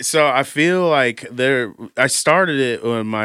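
The recording is very clean, with a silent background. A man speaks fairly slowly in a bright, sharp tone. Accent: American. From Warsaw, Indiana, US Midwest. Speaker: rapper and artist. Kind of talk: casual interview chat.

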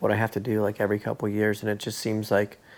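Speaking at a very fast pace, a man talks with vocal fry. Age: 30s. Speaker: podcast host, thru-hiker. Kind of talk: casual interview. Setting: in person, at guest's home.

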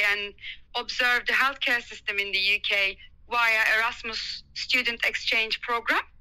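A woman with a Turkish accent, high in pitch, bright and sharp in tone, at a moderate pace. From Turkey. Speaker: doctor. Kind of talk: interview, conversational.

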